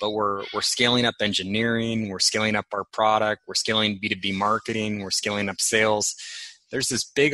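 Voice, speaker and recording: At a moderate pace, a man with a fairly low pitch speaks in a bright, sharp tone. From San Francisco. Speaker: tech company founder. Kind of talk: interview.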